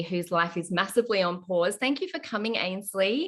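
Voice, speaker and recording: The speaker talks with an Australian accent. The background is quiet. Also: woman. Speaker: podcast host. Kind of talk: casual interview chat.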